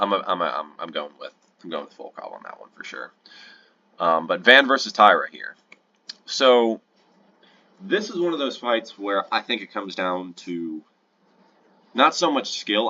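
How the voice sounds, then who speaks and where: A man speaks at a moderate pace, with big swings in loudness and long, frequent pauses. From United States. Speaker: MMA YouTuber giving fight predictions. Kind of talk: casual fight predictions commentary. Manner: casual, halting with self-corrections.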